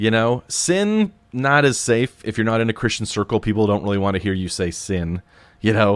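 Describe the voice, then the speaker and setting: The speech moves at a moderate pace with ordinary pitch variation, on a very clean recording with a silent background. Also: man, fairly low pitch for a man. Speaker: podcast host. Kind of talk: solo podcast monologue. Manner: halting, many fillers.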